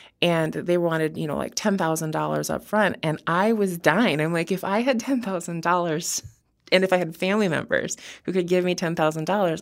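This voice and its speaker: An unremarkable speaking voice from a woman with an American accent, fairly low in pitch, at a moderate pace with ordinary pitch variation, on a very clean recording with a silent background. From Wisconsin. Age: 30s. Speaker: criminal defense attorney. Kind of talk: interview. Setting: studio.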